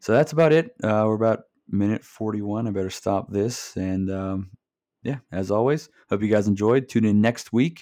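With a quiet background, a man talks at a moderate pace in a fairly low pitch and a dark, mellow tone. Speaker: podcast host. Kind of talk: casual solo podcast chat. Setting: home recording behind a mic. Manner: halting, trips over words.

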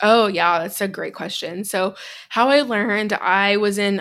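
The recording is very clean, with a silent background. A woman with an unremarkable speaking voice talks at a medium pitch and moderate pace. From US Midwest, Chicago. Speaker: business coach. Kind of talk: tutorial; interview conversation.

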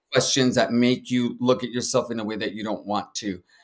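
A man with a plain, everyday voice and an American accent, medium pitch and fairly even intonation, on a very clean recording with a silent background. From San Antonio, Texas. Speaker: social worker and therapist, veteran. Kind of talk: interview.

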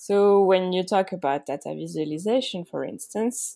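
Recorded very cleanly against a silent background, a woman with a French accent speaks at a moderate pace with ordinary pitch variation. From France. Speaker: UX designer. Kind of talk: interview.

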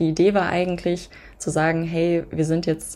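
A woman speaks at a moderate pace with a fairly low pitch. Vocal fry runs through her voice. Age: 20s. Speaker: podcaster. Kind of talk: casual interview.

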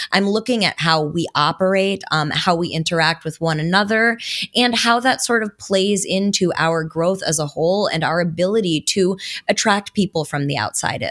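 A woman's plain, everyday voice, medium in pitch, at a moderate pace with ordinary pitch variation. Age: 20s. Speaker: crypto internet personality. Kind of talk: casual chat.

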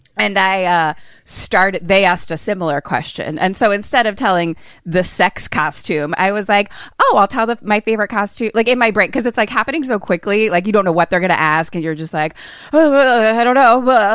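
With an American accent, a woman talks at a fairly quick pace and medium pitch. She has an ordinary speaking voice and lively intonation. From Philadelphia, US. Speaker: horror comedy podcaster with theater training. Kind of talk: casual chat.

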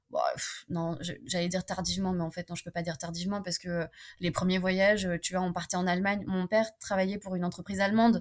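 A woman talks at a very fast pace. Her medium pitch stays in a flat monotone. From France, Romanian mother. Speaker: French-Romanian traveller sharing her experience. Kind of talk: casual interview. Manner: hesitant, many fillers and repetitions.

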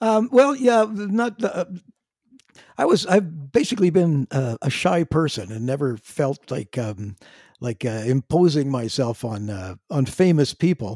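A man with a Canadian accent speaks at a fairly slow pace, his pitch swinging very widely. His tone is dark and mellow, and the recording is very clean with a silent background. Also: fairly high pitch for a man. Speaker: drummer and singer in a classic rock band. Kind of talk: casual interview chat. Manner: halting, with repeated words.

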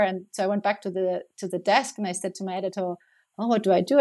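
The background stays quiet. A woman's speech rushes along very fast. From international upbringing, born in Spain, raised partly in Germany. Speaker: former banker turned goat farmer. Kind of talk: interview.

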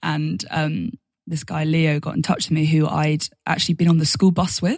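A woman with an English accent talks at a moderate pace in a very deep, low pitch. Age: 20s. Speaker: singer-songwriter. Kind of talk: casual interview.

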